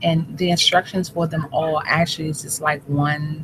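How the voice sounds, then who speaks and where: A woman's very deep, low voice at a fairly slow pace, with noticeable background noise. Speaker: health vlogger. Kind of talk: casual vlog talk.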